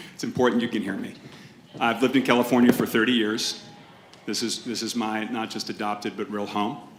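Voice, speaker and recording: A man with an American accent at medium pitch, fairly quick and monotone with flat intonation, over noticeable background noise. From Massachusetts. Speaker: podcast host and entrepreneur. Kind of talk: panel debate. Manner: loud.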